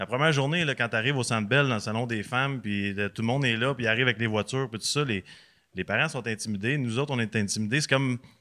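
A man with a bright, sharp tone speaks at a medium pitch and a very fast pace, with ordinary pitch variation. The recording is very clean, with a silent background. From Quebec, Repentigny. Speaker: former hockey player and podcaster. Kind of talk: casual chat.

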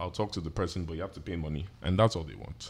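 Someone speaks in an American accent at a very fast pace with ordinary pitch variation. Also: man. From Atlanta, Georgia, US with Nigerian (Yoruba) family. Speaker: event specialist and content creator. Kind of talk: casual chat.

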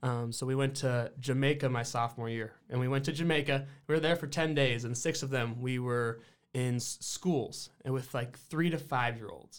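A man with an American accent has a normal speaking voice at medium pitch. He keeps a moderate pace and fairly even intonation. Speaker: college basketball player. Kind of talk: casual chat.

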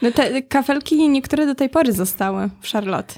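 In a very clean recording with a silent background, a woman speaks at a fairly quick pace with ordinary pitch variation. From Poland, mid-sized town. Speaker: podcast host. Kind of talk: casual interview. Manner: halting, repeats words.

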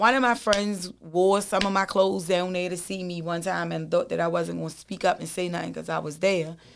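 The woman speaks with fairly even intonation. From East Baltimore. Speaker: former prisoner sharing life story. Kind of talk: casual interview, life story.

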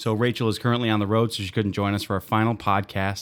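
In a very clean recording with a silent background, a man with a plain, everyday voice speaks at a fairly low pitch with fairly even intonation. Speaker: podcast host. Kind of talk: casual interview.

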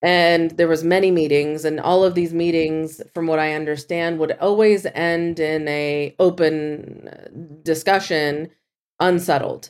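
Speaking fairly slowly, a woman with a fairly low voice keeps a monotone, flat intonation. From US, Kentucky, partly raised in Iran. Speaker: venture capitalist and diaspora activist. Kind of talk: interview, casual chat.

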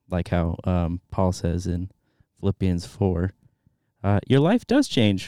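Recorded very cleanly against a silent background, dry and close with no echo, a man with a very deep, low, dark and mellow voice speaks fairly slowly with an American accent. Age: 20s. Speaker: theology student. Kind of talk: interview. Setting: studio.

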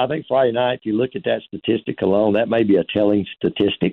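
A man talks fairly quickly in a plain, everyday voice, his pitch varying in an ordinary way. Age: 60s. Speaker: college football head coach. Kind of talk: interview.

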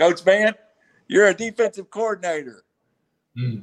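A man talks at a moderate pace, loud and high-pitched for a man. The sound is dry and close with no echo, and his intonation is lively. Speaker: podcast host. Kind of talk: casual podcast chat.

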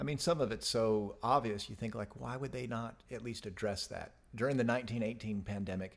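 An ordinary speaking voice. The pace is moderate. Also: man. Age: 50s. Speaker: podcast co-host and business manager. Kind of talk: casual chat.

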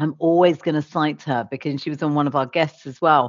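A woman with a British accent, very deep and low in pitch, with fairly even intonation at a moderate pace. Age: 40s. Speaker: agency founder and CEO. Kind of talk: interview.

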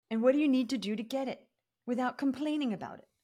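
The delivery is very fast and animated, with vocal fry. Recording quality is very clean, the background silent. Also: woman. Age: 50s. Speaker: business coach. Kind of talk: casual chat.

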